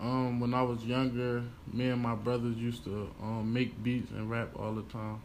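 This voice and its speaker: Audible room echo surrounds a man who speaks at a moderate pace and a medium pitch in a flat, monotone way. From Pennsylvania, Chester. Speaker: rapper. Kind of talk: interview. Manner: hesitant, many fillers.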